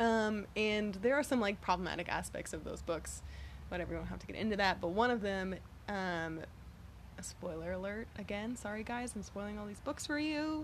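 Audible room echo surrounds a woman speaking with an American accent. Her pitch is medium, with ordinary pitch variation. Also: fairly quick pace. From Texas, Galveston. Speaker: coworker of host. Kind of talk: casual chat.

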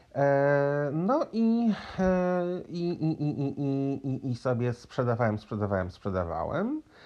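Talking at a very slow pace with hardly any pauses, a man uses a fairly high pitch and very wide pitch swings. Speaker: podcaster. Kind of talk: casual storytelling monologue.

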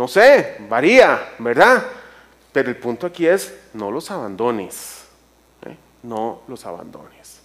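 A man speaks at a very slow pace. His pitch swings very widely and his loudness shifts a lot. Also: medium pitch for a man. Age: 50s. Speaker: church speaker. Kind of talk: sermon. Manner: halting.

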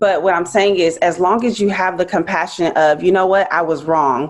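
With an American accent, a woman uses an ordinary speaking voice at a fairly low pitch and fairly even intonation. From Los Angeles. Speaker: podcast panel guest. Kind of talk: casual chat.

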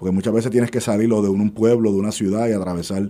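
The voice has a dark, mellow tone and monotone, flat intonation. The recording is very clean, with a silent background. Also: man. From Puerto Rico, Levittown. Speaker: engineer and radio co-host. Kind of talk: radio panel discussion. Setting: radio studio.

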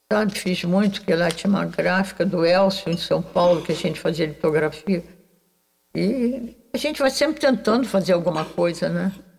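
A woman's somewhat breathy voice in a Carioca accent, medium in pitch, with lively intonation at a moderate pace. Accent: carioca Brazilian Portuguese. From Rio de Janeiro, Brazil (Urca). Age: 90s. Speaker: visual artist. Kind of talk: interview.

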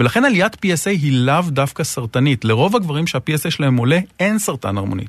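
Lively intonation runs through a man's speech at a very fast pace. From northern Israel. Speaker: urologist, hospital unit director. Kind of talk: interview.

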